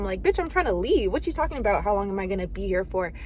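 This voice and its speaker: A woman's very fast speech with vocal fry. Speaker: college student vlogger. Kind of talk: vlog narration.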